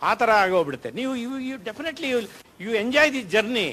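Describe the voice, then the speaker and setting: A man speaks with ordinary pitch variation. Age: 70s. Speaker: professor sharing personal diabetes reversal experience. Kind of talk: talk to an audience at a health session. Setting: auditorium with audience. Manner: animated.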